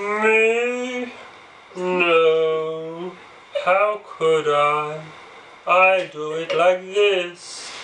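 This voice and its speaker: Over clear background noise, a put-on character voice at a middle pitch moves at a very slow pace with long, frequent pauses. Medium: read story.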